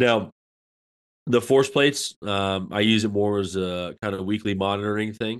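A man with an American accent and an unremarkable speaking voice talks at a moderate pace, fairly low in pitch, with fairly even intonation. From upstate New York. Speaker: college strength coach. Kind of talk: casual chat.

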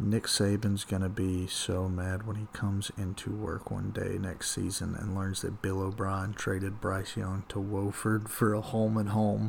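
A man whispering at a fairly slow pace with hardly any pauses. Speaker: podcast co-host. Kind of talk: casual chat.

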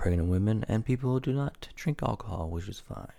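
Dark, mellow, somewhat breathy male voice on a very clean recording with a silent background. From Newfoundland, Canada. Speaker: podcast host. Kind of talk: casual solo monologue.

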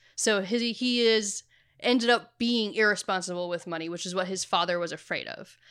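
A woman with an unremarkable speaking voice at medium pitch, fairly quick pace, ordinary pitch variation and big swings in loudness, in a very clean recording with a silent background. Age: 30s. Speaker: podcast co-host. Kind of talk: casual chat.

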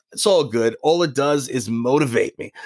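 A man's pitch swings very widely in a dry, close sound with no echo. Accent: New York. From Long Island, New York. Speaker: former pro wrestler. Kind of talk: interview. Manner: halting.

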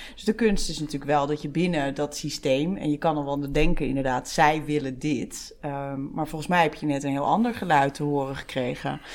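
Ordinary pitch variation over a fairly quick pace. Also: woman, very deep, low pitch for a woman. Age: 40s. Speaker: podcast host, HR professional. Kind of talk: interview conversation.

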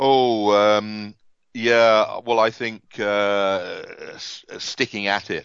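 A man with an English accent talks at a very slow pace and medium pitch, his intonation monotone and flat and his loudness swinging widely. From England. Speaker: author and automotive industry veteran. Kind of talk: interview.

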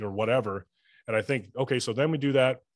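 A plain, everyday voice from a man, fairly quick, with fairly even intonation against a quiet background. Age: 40s. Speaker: sales professional and podcast host. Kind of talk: casual interview chat.

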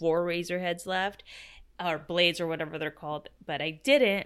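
The tone is bright and sharp, delivered at a fairly quick pace in a very clean recording with a silent background. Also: woman. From Mexican-American. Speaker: podcast co-host. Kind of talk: casual chat.

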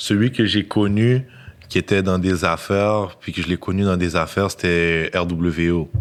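A man speaks at a fairly slow pace in a very deep, low voice with fairly even intonation. The recording is very clean, with a silent background. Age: 20s. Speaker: rapper. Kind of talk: casual chat.

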